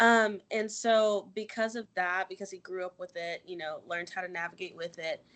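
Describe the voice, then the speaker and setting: A woman with an American accent, a normal speaking voice at medium pitch, ordinary pitch variation, and a moderate pace against a quiet background. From US South, Anderson, South Carolina. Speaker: cheerleader. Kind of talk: interview.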